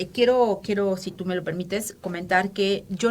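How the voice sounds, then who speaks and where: Her voice is somewhat breathy and sits at a medium pitch. The woman speaks at a moderate pace. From Mexico City, Mexico. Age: 50s. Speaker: feminist activist. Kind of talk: interview. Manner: halting, many fillers.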